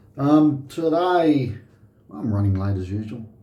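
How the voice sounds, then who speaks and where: A man with an Australian accent speaks at a very slow pace in a somewhat breathy voice, relaxed in tone and dark and mellow, with lively intonation. Audible room echo surrounds the recording. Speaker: shaving video host. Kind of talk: casual tutorial. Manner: relaxed, hesitant.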